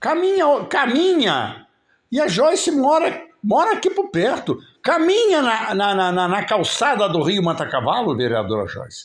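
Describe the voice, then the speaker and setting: A man speaks at an extremely high pitch with very wide pitch swings. His pace is fairly slow, and the recording is very clean with a silent background. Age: 70s. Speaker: local political commentator. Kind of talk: live stream commentary. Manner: casual, conversational.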